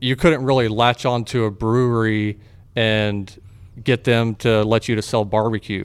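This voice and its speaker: In a very clean recording with a silent background, a man with a Texan accent speaks at a fairly slow pace and with fairly even intonation. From Texas (Fort Worth, Waco). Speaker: barbecue restaurant owner. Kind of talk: casual interview.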